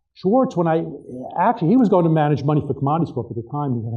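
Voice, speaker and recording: A man rattles off his words at a very fast pace, with audible room echo around him. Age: 60s. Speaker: author and trading expert. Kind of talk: keynote interview on stage.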